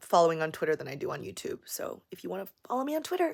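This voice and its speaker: An animated woman with an American accent talks at medium pitch and a fairly quick pace. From Las Vegas, US. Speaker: YouTuber. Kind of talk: livestream Q&A. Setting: livestream.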